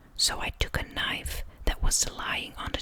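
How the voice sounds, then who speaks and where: Over noticeable background noise, a fairly slow whisper is heard. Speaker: ASMR creator. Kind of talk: true crime story narration. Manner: whispered, soft-spoken.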